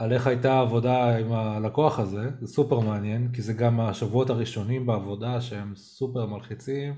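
A moderate pace with hardly any pauses and monotone, flat intonation. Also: man, medium pitch for a man. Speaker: podcast host who stutters. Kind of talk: casual chat. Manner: halting.

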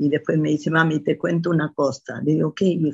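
A woman speaks in a somewhat breathy voice with a very deep, low pitch. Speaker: mother of the host. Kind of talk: interview testimony.

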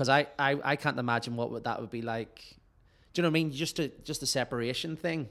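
Very fast speech with ordinary pitch variation. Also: man, fairly high pitch for a man. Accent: Northern Irish. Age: 30s. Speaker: podcast host and musician. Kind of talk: casual chat. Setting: remote call.

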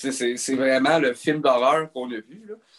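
A man talks in a plain, everyday voice, pitched in the middle of his range. The pace stays moderate. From Quebec. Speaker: hockey podcast co-host. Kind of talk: casual chat.

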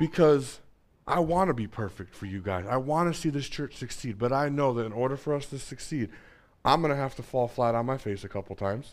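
A man with a normal speaking voice, medium in pitch, at a fairly quick pace with lively intonation, on a very clean recording with a silent background. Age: 30s. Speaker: pastor. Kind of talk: sermon.

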